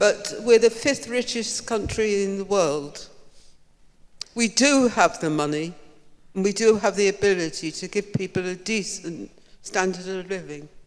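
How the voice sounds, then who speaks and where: Someone speaks at a fairly slow pace with a British accent. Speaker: audience member. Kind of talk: audience question.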